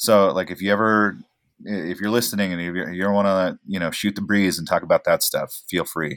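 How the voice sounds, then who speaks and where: Recorded very clean with a silent background and a dry, close sound with no echo, a man with a General American accent uses a normal speaking voice at a fairly low pitch. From Oregon, US. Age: 30s. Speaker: actor and filmmaker. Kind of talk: casual chat.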